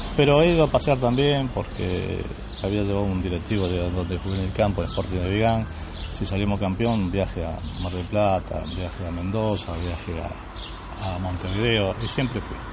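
A man with a Rioplatense accent speaks at a moderate pace in a very deep, low voice with ordinary pitch variation. Noticeable background noise and audible room echo fill the recording. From Rosario, Argentina. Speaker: retired footballer. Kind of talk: interview. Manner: halting.

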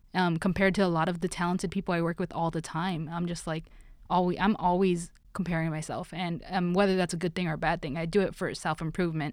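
Talking at a very fast pace in a flat monotone, a woman with an American accent is heard on a very clean recording with a silent background. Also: fairly low pitch for a woman. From Los Angeles. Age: 20s. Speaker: sound engineer and producer. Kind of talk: casual chat.

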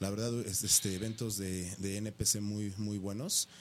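Speaking at a fairly slow pace, a man has an ordinary speaking voice with a fairly low pitch. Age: 40s. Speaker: professional bodybuilder. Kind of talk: casual interview. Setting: radio studio.

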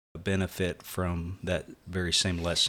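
A man talks at a very slow pace in a bright, sharp tone. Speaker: preacher. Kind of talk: casual religious discussion. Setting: video call.

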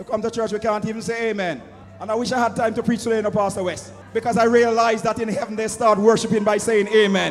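Over noticeable background noise, a man speaks very fast in a high pitch with an animated tone. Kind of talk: sermon. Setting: church with congregation. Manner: animated, call-and-response preaching, rhetorical questions to the congregation; loud, impassioned, urging the congregation to answer.

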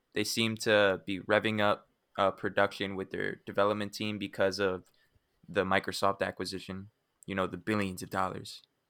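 A man talks at a moderate pace with a fairly low pitch and a bright, sharp tone. His intonation is monotone and flat, on a very clean recording with a silent background. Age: 20s. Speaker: gaming podcast co-host. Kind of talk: casual chat.

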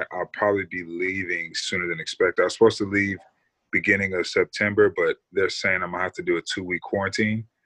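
A man talks at a very fast pace, and the sound is dry and close with no echo. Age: 20s. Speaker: professional basketball player. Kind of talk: casual chat.

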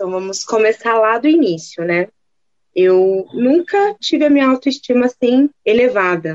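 A woman's fairly high, ordinary speaking voice, with lively intonation at a fairly slow pace. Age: 20s. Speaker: plus size model. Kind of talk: casual chat.

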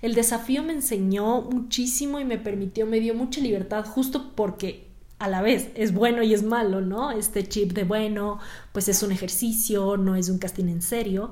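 A woman speaks at a moderate pace with fairly high pitch and an animated tone. Her pitch varies in an ordinary way, and audible room echo surrounds her voice. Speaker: actress and podcast host. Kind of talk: solo podcast monologue. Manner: conversational, animated.

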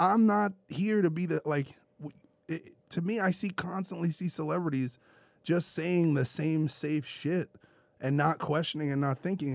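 A high-pitched man with a New York accent, ordinary pitch variation and a moderate pace. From US Northeast (Brooklyn, New York). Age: 30s. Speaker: podcast co-host. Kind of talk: casual chat. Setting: studio.

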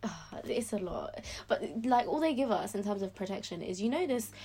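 A woman with a London accent talks at a fairly quick pace. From South London, England. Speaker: former pageant queen, medical student. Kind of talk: podcast interview.

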